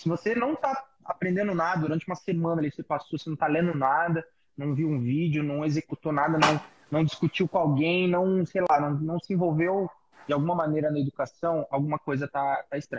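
A man talks at a fairly quick pace with a fairly high pitch and an ordinary speaking voice. The sound is dry and close, with no echo. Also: ordinary pitch variation. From Brazil, São Paulo. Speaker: hairdresser, salon owner and hair educator. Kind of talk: casual chat. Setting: video call.

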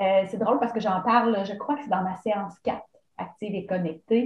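A woman speaks in a Quebec accent. Her voice is somewhat breathy, with ordinary pitch variation. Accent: Québécois French. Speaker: running coach and entrepreneur. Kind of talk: casual interview. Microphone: connection problems at times.

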